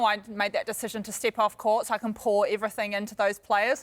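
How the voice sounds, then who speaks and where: Speaking with a New Zealand accent, a woman talks at a fairly quick pace and a fairly high pitch on a very clean recording with a silent background. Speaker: netball coach. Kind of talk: TV interview. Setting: TV studio. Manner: hesitant, many fillers.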